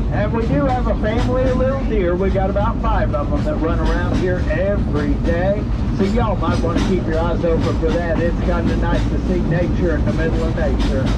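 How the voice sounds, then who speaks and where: Loud background noise sits under speech that moves at a fairly quick pace. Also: hardly any pauses. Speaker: train conductor narrator. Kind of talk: theme-park ride commentary. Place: train.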